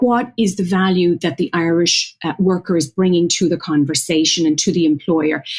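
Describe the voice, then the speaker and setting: The speaker is a woman with a fairly low pitch. Her voice is somewhat breathy. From Ireland, County Offaly. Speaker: marketing executive. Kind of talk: interview. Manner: formal.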